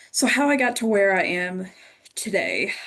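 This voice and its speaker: A woman with an American accent at a medium pitch, against a quiet background. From rural Kentucky, US. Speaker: lawyer, panelist. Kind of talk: panel self-introduction.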